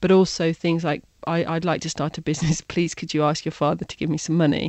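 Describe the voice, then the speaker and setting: A woman with a British accent speaks in a very deep, low pitch. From England, Birmingham. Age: 40s. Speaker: digital consultant. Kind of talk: interview.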